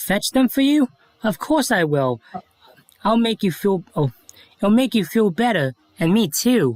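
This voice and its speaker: A put-on character voice, cheerful in tone and fairly high in pitch, with long, frequent pauses. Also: moderate pace. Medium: read story. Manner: cheerful, friendly.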